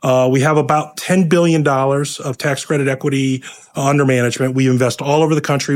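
In a plain, everyday voice, a fairly high-pitched man talks at a fairly quick pace with fairly even intonation. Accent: American. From Ohio, US Midwest. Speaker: affordable housing investment executive. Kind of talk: interview conversation.

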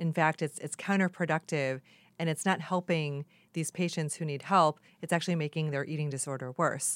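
A woman speaks at a fairly quick pace in a very deep, low pitch with fairly even intonation. The sound is dry and close, with no echo. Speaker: podcast host and tech executive. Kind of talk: interview conversation.

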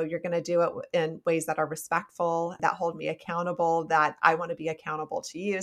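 Fairly low-pitched woman's voice with a US Midwestern accent, flat and monotone at a fairly quick pace, in a very clean recording with a silent background. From Nebraska, US Midwest. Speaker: psychologist and author. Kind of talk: interview conversation.

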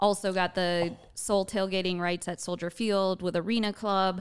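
With an American accent, a woman speaks in an unremarkable speaking voice at a medium pitch and a moderate pace, on a very clean recording with a silent background. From Wisconsin, rural farm. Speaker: entrepreneurship educator and founder. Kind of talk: interview.

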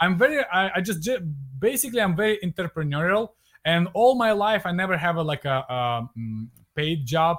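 A man talks fairly quickly at a high pitch with very wide pitch swings. The recording is very clean, with a silent background. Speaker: e-commerce entrepreneur. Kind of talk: interview. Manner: halting, with many fillers and restarts.

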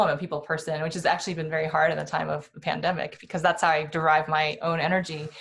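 An ordinary speaking voice, a woman's, fairly low in pitch with fairly even intonation. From Iowa, US Midwest. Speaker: venture capital investor. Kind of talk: casual interview.

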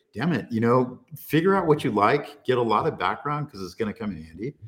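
This is a man with a normal speaking voice at medium pitch. He speaks with an American accent. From California. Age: 60s. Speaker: data and AI technologist. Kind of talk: casual chat. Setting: castle in Germany.

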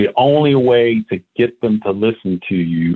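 In an American accent, the speaker uses an ordinary speaking voice with ordinary pitch variation at a fairly slow pace. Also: man. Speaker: diversity and equity executive, army veteran. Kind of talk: interview.

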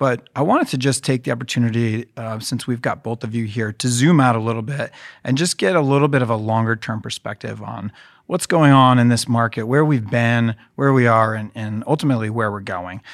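In a very clean recording with a silent background, a man with an unremarkable speaking voice talks at a fairly quick pace, his pitch medium and his pitch variation ordinary. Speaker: podcast host. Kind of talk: podcast interview.

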